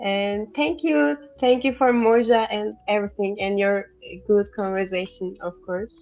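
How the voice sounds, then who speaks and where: Against noticeable background noise, a woman with a Turkish accent speaks at a fairly slow pace, at medium pitch, with lively intonation. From Turkey. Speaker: language teacher guest, artist. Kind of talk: casual chat.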